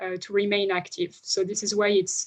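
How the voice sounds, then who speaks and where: A woman speaks at a fairly high pitch. Her pitch varies an ordinary amount. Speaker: economist presenting research. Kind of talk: academic presentation. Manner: fast; hesitant with many fillers.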